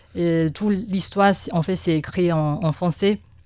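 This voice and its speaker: Speaking at a fairly slow pace with a Chinese accent, a woman uses a fairly low pitch and fairly even intonation in a very clean recording with a silent background. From Taiwan. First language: Mandarin (speaking French). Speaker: press cartoonist. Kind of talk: interview. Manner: halting, many hesitations and repetitions.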